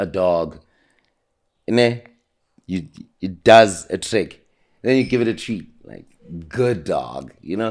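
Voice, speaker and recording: At a very slow pace, a man with a South African accent talks in a fairly low pitch, with long, frequent pauses. His intonation is lively, and his loudness swings widely. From South Africa, Soweto (Zola/Jabulani). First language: isiZulu. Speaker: homeless man telling his life story. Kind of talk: interview. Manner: well spoken.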